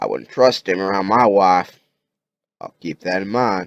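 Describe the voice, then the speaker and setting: In a put-on character voice, a man with a raspy, fairly low-pitched delivery speaks at a moderate pace with big swings in loudness, the sound dry and close with no echo. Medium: read story. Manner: blunt, folksy.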